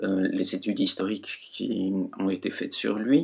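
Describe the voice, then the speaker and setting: A man talks at a very slow pace. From Switzerland, Valais. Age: 60s. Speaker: writer. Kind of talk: interview. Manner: hesitant.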